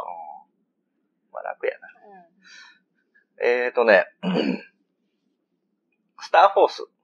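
A man with a Kansai accent, big swings in loudness, and long, frequent pauses, in a dry, close sound with no echo. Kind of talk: casual let's-play chat.

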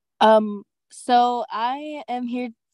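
Against a quiet background, the voice has a dark, mellow tone in a dry sound with no echo. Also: woman. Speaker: student giving public comment. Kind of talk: public comment statement. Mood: slightly nervous, supportive. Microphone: video call.

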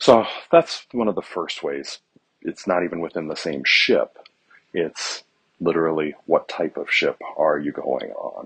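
The man speaks fairly slowly in a quiet setting with little background sound. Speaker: economics teacher. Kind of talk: lecture. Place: hall. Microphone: earbuds.

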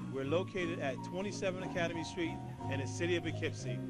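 The recording is dry, with no echo, and clear music sounds in the background. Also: man. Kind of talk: promotional talk to camera. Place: bar. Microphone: handheld.

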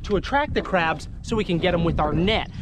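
Faint music sits in the background of this dry recording with no echo, and the speech moves at a fairly quick pace. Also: man. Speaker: fishing vlogger. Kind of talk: casual vlog chat. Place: boat. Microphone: phone near.

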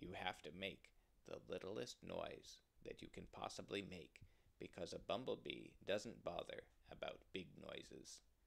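Putting on a character voice, a man speaks fairly slowly at a low pitch with a slightly husky edge, vocal fry and lively intonation.

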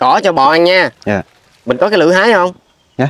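The man's intonation is lively, and the sound is dry with no echo. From Vietnam. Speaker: charity vlogger. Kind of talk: casual interview. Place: farm. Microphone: phone near.

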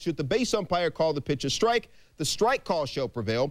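A man's pitch swings very widely as he speaks at a fairly quick pace. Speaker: sports highlights anchor. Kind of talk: baseball highlights narration. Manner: jokey, playful delivery.

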